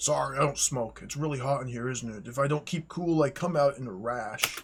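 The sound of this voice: A man performs a put-on character voice. His pitch sits in the medium range. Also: fairly quick pace.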